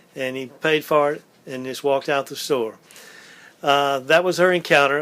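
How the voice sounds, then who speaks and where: Talking at a fairly quick pace, a man with a Louisiana accent uses a fairly high pitch. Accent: Southern US (Louisiana). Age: 80s+. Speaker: oral history interviewee. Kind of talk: oral history interview. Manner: halting, many fillers.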